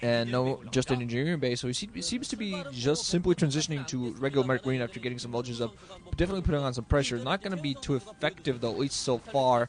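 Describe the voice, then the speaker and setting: Very fast speech from a man with a non-native accent, medium pitch and lively intonation, over noticeable background noise. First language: not English. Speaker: esports commentator. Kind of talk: live commentary. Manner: halting.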